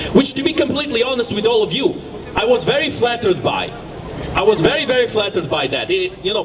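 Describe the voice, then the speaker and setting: An extremely high male voice with a slight Eastern European accent, very fast and lively, over noticeable background noise. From Ukraine. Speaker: activist. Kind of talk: speech at a protest rally. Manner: impassioned, rhetorical.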